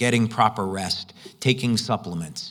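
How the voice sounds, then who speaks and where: With a normal speaking voice, the speaker goes at a fairly slow pace with ordinary pitch variation on a very clean recording with a silent background. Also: man. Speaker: conference presenter on light therapy product. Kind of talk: conference presentation.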